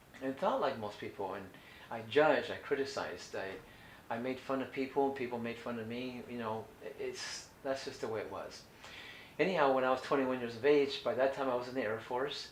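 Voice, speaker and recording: A man with an American accent at a medium pitch, ordinary pitch variation, and a fairly quick pace, amid audible room echo and noticeable background noise. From California. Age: 60s. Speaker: raw food diet coach. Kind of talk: instructional talk. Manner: halting.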